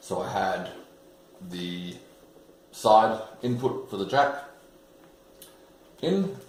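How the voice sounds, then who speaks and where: Amid audible room echo, a man with an Australian accent speaks at a fairly low pitch. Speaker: bass builder and video maker. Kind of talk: unboxing tutorial. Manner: animated.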